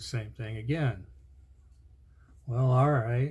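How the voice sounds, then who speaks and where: A man speaks very slowly at a medium pitch, somewhat breathy with a dark, mellow tone and fairly even intonation. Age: 60s. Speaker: video blogger. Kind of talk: casual chat.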